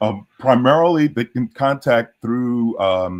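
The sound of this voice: A man talks at a medium pitch with very wide swings in it. His pace is very slow.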